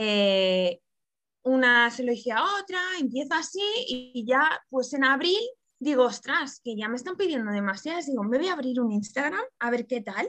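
With a high pitch and lively intonation, a woman speaks at a moderate pace in a bright, sharp tone. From Catalonia, Barcelona. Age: 30s. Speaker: pastry chef. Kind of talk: interview.

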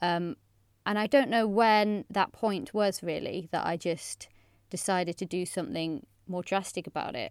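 A woman with a West Country accent at medium pitch and ordinary pitch variation, in a very clean recording over a silent background. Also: moderate pace. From England, Bristol. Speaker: journalist and podcaster. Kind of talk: casual chat.

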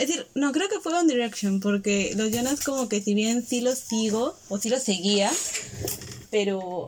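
A fairly high-pitched woman's voice at a fairly slow pace, with ordinary pitch variation and noticeable background noise. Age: 20s. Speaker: podcast co-host, graphic designer. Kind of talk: casual chat.

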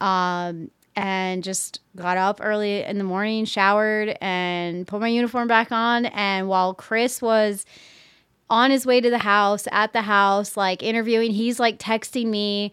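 A woman with a normal speaking voice, medium in pitch, at a fairly slow pace with fairly even intonation, on a very clean recording with a silent background. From southern Maryland, US; raised in Pennsylvania from age 11. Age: 30s. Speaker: army soldier. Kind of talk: casual interview.

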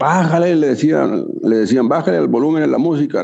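The man's tone is dark and mellow. His pitch rises and falls over a very wide range. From northern Mexico, Chihuahua. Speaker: rock musician and singer-songwriter. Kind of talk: casual interview.

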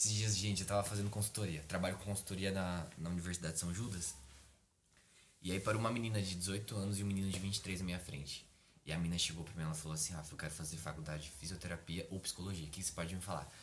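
The somewhat breathy voice moves at a very fast pace with ordinary pitch variation, and audible room echo fills the recording. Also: man. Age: 20s. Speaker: psychology student and preacher. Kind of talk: casual chat.

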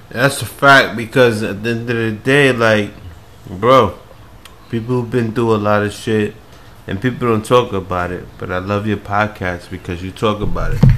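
A man with an American accent speaks at a moderate pace in a fairly low pitch with fairly even intonation. Noticeable background noise runs underneath. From New York City, Queens. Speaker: podcast guest. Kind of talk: casual chat.

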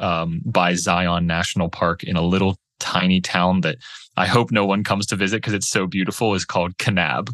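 Against a quiet background, a man talks in an American accent. His pitch is very deep and low, and his intonation fairly even. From Pittsburgh, Pennsylvania. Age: 20s. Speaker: real estate platform founder. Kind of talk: podcast interview.

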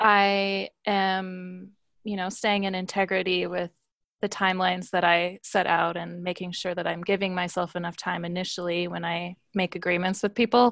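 Against a quiet background, a woman with an American accent speaks in a medium pitch. Her intonation is flat and monotone. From US Midwest. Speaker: human design reader. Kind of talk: interview conversation. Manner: slow.

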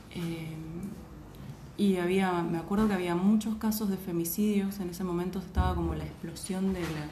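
The voice is monotone and flat, heard with audible room echo and noticeable background noise. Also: woman, medium pitch for a woman, moderate pace. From Argentina, Posadas (Misiones). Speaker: journalist. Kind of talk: casual chat.

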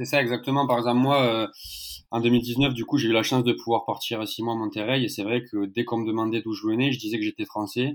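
A man speaks very fast at a medium pitch in a flat monotone, on a very clean recording with a silent background. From southern France, Narbonne. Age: 20s. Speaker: football social media account runner. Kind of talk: casual chat.

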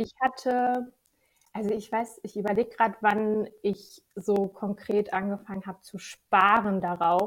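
A woman at medium pitch, fairly even intonation and a fairly slow pace, an ordinary speaking voice. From Lower Saxony, Germany (Gifhorn district). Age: 20s. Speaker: financial controlling freelancer. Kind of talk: podcast interview.

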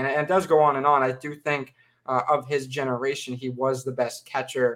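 This man's voice sits at a medium pitch and is an unremarkable speaking voice. His pace is moderate and his intonation fairly even. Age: 20s. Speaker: sports podcast co-host. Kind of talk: casual chat.

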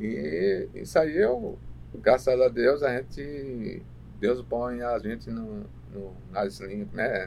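A man speaking very slowly, with big swings in loudness. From Paraíba, Brazilian Northeast. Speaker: transport coordinator and driver. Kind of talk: interview.

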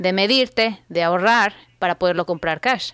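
In a very clean recording with a silent background, a woman speaks at a moderate pace with a plain, everyday voice and ordinary pitch variation. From Mexico, Guadalajara. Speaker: personal finance coach, former TV journalist. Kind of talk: interview.

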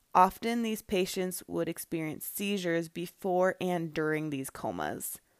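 In an unremarkable speaking voice, a woman talks at a fairly slow pace and fairly low pitch. Her intonation stays fairly even. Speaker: podcast host. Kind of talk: true-crime narration, scripted-style storytelling of historical facts. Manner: measured, even, storyteller pacing.

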